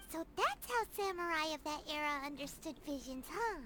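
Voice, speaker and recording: Someone performs a put-on character voice at a high pitch. Background noise is clearly heard. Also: moderate pace. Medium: video game. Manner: casual, friendly.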